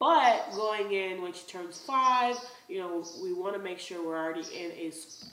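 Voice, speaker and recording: A woman's bright, sharp voice with lively intonation and big swings in loudness, with audible room echo. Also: medium pitch for a woman, moderate pace. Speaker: lifestyle vlogger. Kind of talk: casual vlog talk.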